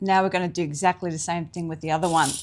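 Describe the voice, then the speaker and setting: A woman speaks at a fairly low pitch with an Australian accent. The recording is very clean, and the background is silent. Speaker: sewing teacher. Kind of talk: tutorial. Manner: casual.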